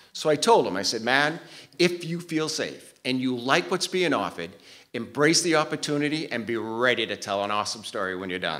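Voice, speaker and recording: Fairly high-pitched and bright with a sharp tone, a man with a Maine accent speaks at a fairly quick pace with very wide pitch swings on a very clean recording with a silent background. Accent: Maine, New England. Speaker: cardiovascular tech and respiratory therapist. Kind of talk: personal storytelling to live audience.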